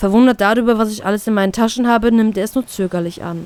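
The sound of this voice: A woman speaks at a fast pace. Her tone is clear, smooth and slightly mellow. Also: medium pitch for a woman, ordinary pitch variation.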